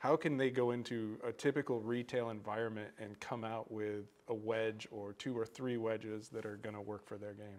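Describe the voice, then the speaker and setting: Here a man talks at a moderate pace with fairly even intonation but big swings in loudness. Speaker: golf podcast co-host. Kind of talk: casual chat. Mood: friendly, curious. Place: meeting room.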